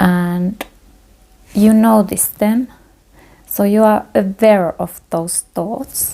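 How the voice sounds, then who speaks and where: A woman with a non-native accent and a dark, mellow tone speaks very slowly at a medium pitch with fairly even intonation and long, frequent pauses. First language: not English. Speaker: meditation teacher. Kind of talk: guided meditation. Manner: halting.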